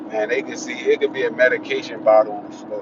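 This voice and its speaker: Noticeable background noise around a man's fairly quick pace. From Washington DC. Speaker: vlogger. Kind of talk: casual vlog monologue. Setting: in a car. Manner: casual, halting with restarts.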